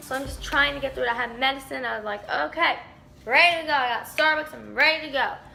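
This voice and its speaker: With music playing in the background, a woman talks at a very fast pace. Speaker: dog show handler. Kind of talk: casual story time talk to camera.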